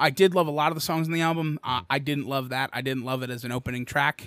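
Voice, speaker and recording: A man with an American accent and a bright, sharp tone speaks at a fairly quick pace with ordinary pitch variation on a very clean recording with a silent background. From Bucks County, Pennsylvania. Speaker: podcast host and cover band singer. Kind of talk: casual chat.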